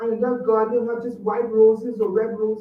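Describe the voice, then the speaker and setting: Audible room echo surrounds a woman who speaks at a fairly high pitch with a slight Trinidadian accent. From Trinidad and Tobago. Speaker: public commenter at school board meeting. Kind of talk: public comment speech. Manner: halting.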